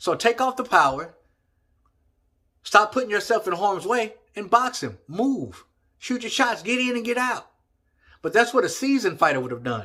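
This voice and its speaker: Speaking in a raised, projected voice with a Southern US accent, a man talks in an animated, bright, sharp tone at a high pitch, with lively intonation and long, frequent pauses on a very clean recording with a silent background. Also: moderate pace. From Texas. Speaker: boxing commentator YouTuber. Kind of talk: casual opinion vlog.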